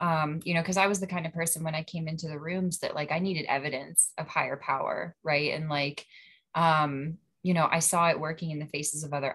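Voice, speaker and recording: With a Western Pennsylvania accent, a woman speaks at a very deep, low pitch and a fairly quick pace, her tone bright and sharp and her intonation fairly even. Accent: Western Pennsylvania American. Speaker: recovery group member. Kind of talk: casual group discussion.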